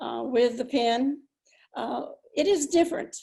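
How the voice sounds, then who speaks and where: A woman talks at a moderate pace with an American accent. Her voice is high-pitched, with a dark, mellow tone. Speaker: retired nurse, ceremony speaker. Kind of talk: commencement speech. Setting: virtual ceremony. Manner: halting.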